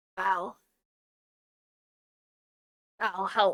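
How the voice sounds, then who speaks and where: A croaky, put-on character voice. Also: middle pitch. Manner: weak.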